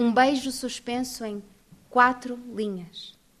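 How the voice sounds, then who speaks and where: A woman speaks in a high, monotone, flat voice. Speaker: poet. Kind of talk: poetry reading aloud.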